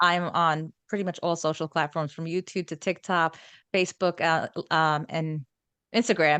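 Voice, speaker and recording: The speaker has a New York accent and a bright, sharp tone, with fairly even intonation at a moderate pace. The sound is dry and close with no echo over a quiet background. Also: woman, fairly low pitch for a woman. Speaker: holistic wellness coach. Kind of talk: interview conversation. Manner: drops final g sounds.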